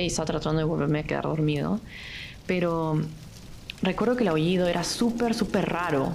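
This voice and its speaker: Noticeable background noise and audible room echo accompany a woman. Her voice is fairly low, with ordinary pitch variation, and she talks at a fairly quick pace. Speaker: architecture student. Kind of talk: casual chat.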